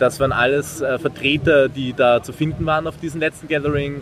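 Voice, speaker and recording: Over noticeable background noise, a man with an Austrian accent talks with fairly even intonation. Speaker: volunteer maker project organiser. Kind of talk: interview at a trade fair. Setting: trade fair floor.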